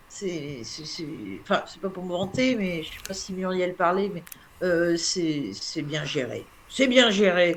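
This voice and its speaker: A woman speaks at a very slow pace with a fairly low pitch and big swings in loudness. Noticeable background noise runs behind her. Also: lively intonation. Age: 60s. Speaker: patient association president. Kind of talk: casual chat. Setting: live stream.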